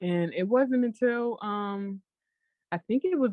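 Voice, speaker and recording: Her pitch is fairly high. This woman's voice swings very widely in pitch. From US South. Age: 20s. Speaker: blogger. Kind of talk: interview.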